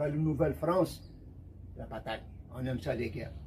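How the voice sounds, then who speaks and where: A man's fairly high-pitched voice with vocal fry and a dark, mellow tone, at a fairly quick pace. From Algeria. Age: 80s+. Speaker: video blogger. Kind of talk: casual monologue. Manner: animated.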